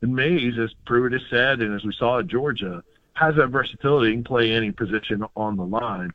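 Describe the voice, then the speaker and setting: A man speaks in an unremarkable speaking voice, medium in pitch, with ordinary pitch variation. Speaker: sports analyst. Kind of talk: radio sports talk interview. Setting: phone line into radio studio.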